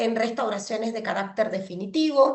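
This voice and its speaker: In a plain, everyday voice, a woman speaks fairly high-pitched at a fairly slow pace. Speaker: pediatric dentist lecturer. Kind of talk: online lecture. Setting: video call with screen sharing.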